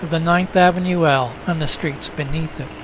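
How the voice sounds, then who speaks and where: A man talks at a moderate pace with ordinary pitch variation. Noticeable background noise runs under his voice. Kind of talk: documentary narration of historical newsreel footage.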